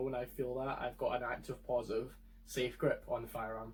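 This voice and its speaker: Talking at a fairly quick pace with a Scottish accent, a man sounds somewhat breathy, his intonation fairly even. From Scotland. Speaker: firearms video creator. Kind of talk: tutorial.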